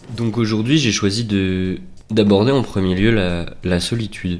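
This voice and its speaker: Over music in the background and audible room echo, a man talks at a moderate pace with ordinary pitch variation. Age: 20s. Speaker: student vlogger. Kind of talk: personal reflective monologue. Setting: home recording with headset mic. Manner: hesitant, many fillers.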